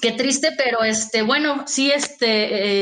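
The voice shows ordinary pitch variation. Noticeable background noise can be heard. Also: woman. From Mexico, Oaxaca. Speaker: publishing manager. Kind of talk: interview.

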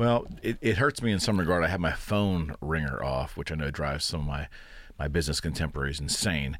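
Speaking at a fairly quick pace, a man uses a very deep, low pitch with vocal fry and lively intonation. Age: 50s. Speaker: podcast host and realtor. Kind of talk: casual interview.

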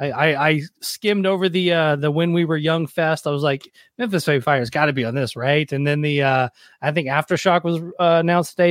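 A man with an unremarkable speaking voice talks fairly quickly in a fairly high voice with ordinary pitch variation. The recording is very clean, with a silent background and a dry, close sound with no echo. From US South, Nashville. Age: 40s. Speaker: podcast host, former touring musician. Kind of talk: casual chat and interview.

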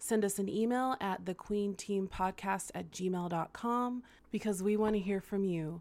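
At a fairly slow pace, a woman with an unremarkable speaking voice talks at medium pitch with fairly even intonation. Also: very clean recording, silent background. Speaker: podcast co-host. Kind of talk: casual chat. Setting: studio.

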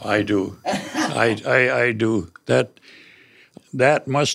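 The speaker has an American accent and vocal fry. The recording is very clean, with a silent background. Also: man. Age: 70s. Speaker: family caregiver. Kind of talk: interview. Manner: halting.

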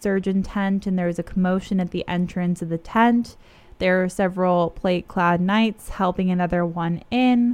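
This is a natural reading voice. It is read in that manner throughout.

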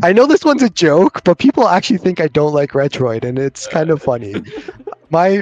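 Recorded dry and close with no echo, a man with a Canadian accent and an unremarkable speaking voice talks at a fairly quick pace and a fairly high pitch. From Canada. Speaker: YouTuber, handheld reviewer. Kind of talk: casual chat. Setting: video call.

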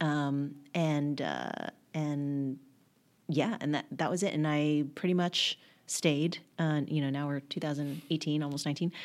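A woman speaks at a moderate pace. Her voice is very deep and low. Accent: American. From Texas, Dallas area. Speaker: copywriter and writer. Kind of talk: casual chat.

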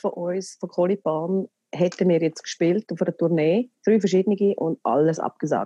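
In a dry, close recording with no echo and a quiet background, a woman talks fairly slowly in a dark, mellow tone. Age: 40s. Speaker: actress and theatre producer. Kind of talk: casual chat. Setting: phone call.

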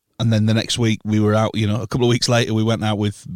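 A man with a fairly low pitch speaks in a flat monotone, in a very clean recording with a silent background. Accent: Yorkshire. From northern England, York. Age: 30s. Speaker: live sound engineer. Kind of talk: casual chat.

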